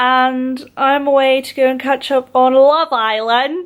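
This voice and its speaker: A woman speaks with an English accent. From Scotland. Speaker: competitive swimmer and vlogger. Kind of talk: casual vlog talk to camera.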